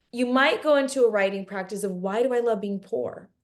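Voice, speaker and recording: This woman's tone is animated, her pitch fairly high. Her pitch varies in an ordinary way. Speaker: spiritual teacher. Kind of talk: live online workshop talk. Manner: fast. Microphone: laptop camera and mic, poor quality.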